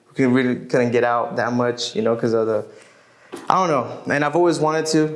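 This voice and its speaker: Against noticeable background noise, a man at medium pitch talks at a fairly quick pace, with ordinary pitch variation and very even loudness. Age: 20s. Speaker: musician. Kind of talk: interview.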